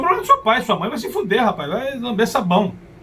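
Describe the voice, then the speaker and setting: Noticeable background noise behind a man's very fast speech. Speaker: motivational speaker. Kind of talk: personal storytelling monologue. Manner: occasional hesitations and restarts.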